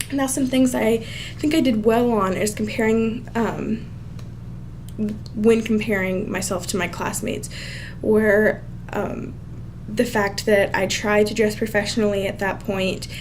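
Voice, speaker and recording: Amid noticeable background noise and audible room echo, a woman at a medium pitch speaks at a fairly slow pace with long, frequent pauses and ordinary pitch variation. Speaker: student. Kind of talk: self-review monologue. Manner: casual with fillers.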